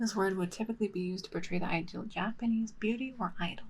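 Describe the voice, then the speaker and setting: A woman's somewhat breathy voice, fairly high in pitch, with fairly even intonation. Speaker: VTuber ASMR streamer. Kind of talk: casual live-stream chat. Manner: soft-spoken.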